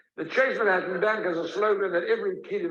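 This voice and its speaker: A man speaks with a South African accent amid audible room echo. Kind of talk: lecture. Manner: storytelling, conversational.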